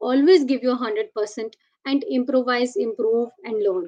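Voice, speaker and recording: The speaker has an Indian accent and lively intonation. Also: woman. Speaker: product manager. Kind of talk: interview.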